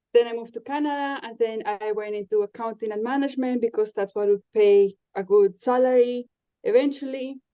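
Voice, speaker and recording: A woman talks at a fairly quick pace with a Spanish accent. Her pitch sits fairly high, and her loudness swings widely. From Colombia. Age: 30s. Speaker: podcast guest. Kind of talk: casual interview chat. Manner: hesitant, with frequent fillers.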